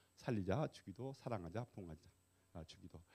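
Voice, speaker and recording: This man has a fairly low pitch and lively intonation. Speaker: pastor and guest lecturer. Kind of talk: lecture. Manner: hesitant with fillers.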